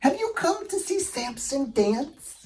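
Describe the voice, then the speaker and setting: A put-on character voice with high pitch and very wide pitch swings moves at a fairly slow pace. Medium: read story.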